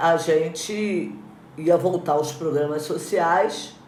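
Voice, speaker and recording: A woman speaks with a very deep, low pitch. Room echo is audible around her voice. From Rio de Janeiro state, Magé area. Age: 70s. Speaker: former mayor, politician. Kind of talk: interview. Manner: animated.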